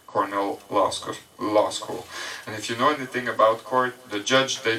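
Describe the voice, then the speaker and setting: Over noticeable background noise, a man at medium pitch talks at a fairly quick pace. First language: French. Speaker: presenter. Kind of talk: presentation to audience.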